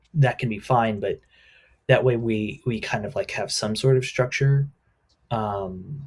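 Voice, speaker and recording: Fairly slow, somewhat breathy delivery with fairly even intonation and long, frequent pauses. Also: man. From US Midwest. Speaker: livestream co-host. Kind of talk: casual planning chat.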